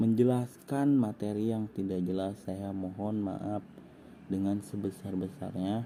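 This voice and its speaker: A man speaks very slowly in a dark, mellow tone. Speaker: engineering student. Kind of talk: lecture. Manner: halting.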